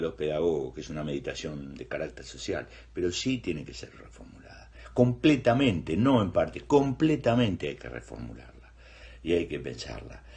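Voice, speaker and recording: Very wide pitch swings mark this man's speech, along with vocal fry. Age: 60s. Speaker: teacher. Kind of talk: interview. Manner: halting.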